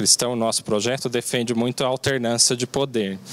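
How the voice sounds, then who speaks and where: A man's medium-pitched voice comes with noticeable background noise. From Brazil, Mogi das Cruzes (São Paulo state). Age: 30s. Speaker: mayoral candidate, lawyer. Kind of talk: political interview.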